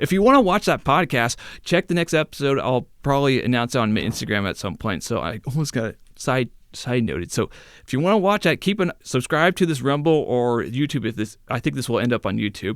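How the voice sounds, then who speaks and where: Very wide pitch swings and vocal fry from a man at medium pitch and a fairly quick pace, on a very clean recording with a silent background. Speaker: podcaster and video creator. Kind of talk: casual solo podcast. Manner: stutter; halting, many fillers.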